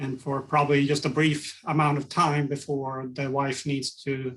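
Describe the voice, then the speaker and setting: Speaking in a Swedish accent, a man holds a fairly high pitch in a monotone, flat intonation. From Sweden. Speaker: ergonomics consultant. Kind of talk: podcast interview.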